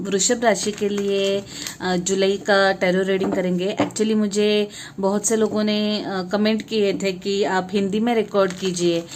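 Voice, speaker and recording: A woman's medium-pitched voice in a Marathi accent, monotone and flat, with noticeable background noise. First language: Marathi (speaking Hindi). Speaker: tarot reader. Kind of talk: tarot reading monologue. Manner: halting, many fillers.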